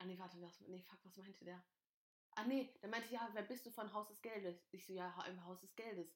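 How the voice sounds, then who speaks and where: Fairly quick, animated speech from a woman at medium pitch, with big swings in loudness. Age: 20s. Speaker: podcast host. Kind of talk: casual chat. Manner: animated, frequent laughing.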